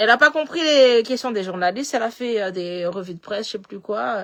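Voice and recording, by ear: Against a very clean recording with a silent background, a woman with a slight Malagasy accent speaks fairly slowly in a bright, sharp tone with lively intonation.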